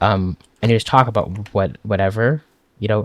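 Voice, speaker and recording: Close and dry, with no echo at all, a man's voice fills the clip. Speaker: gaming YouTuber. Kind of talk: casual gameplay commentary. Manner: fast; casual, hesitant fillers.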